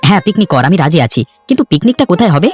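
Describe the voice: A man in a cartoonish character voice speaks very fast at a high pitch with big pitch swings and a slightly husky edge, the sound dry and close with no echo and faint music in the background.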